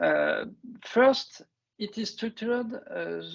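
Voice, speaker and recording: In a French accent, a man talks at a fairly slow pace. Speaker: construction industry researcher. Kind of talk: webinar presentation. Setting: online webinar. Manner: halting, many hesitations.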